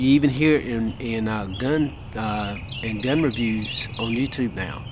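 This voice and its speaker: Noticeable background noise behind a man whose pitch varies in an ordinary way. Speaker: gun video vlogger. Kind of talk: casual vlog monologue. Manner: folksy, conversational.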